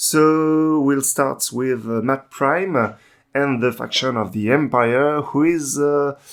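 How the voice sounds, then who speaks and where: This man, with a French accent, has a medium pitch and ordinary pitch variation. He speaks at a very slow pace in a very clean recording with a silent background. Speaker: tabletop game channel host. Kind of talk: casual gaming review discussion. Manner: halting, many filler sounds.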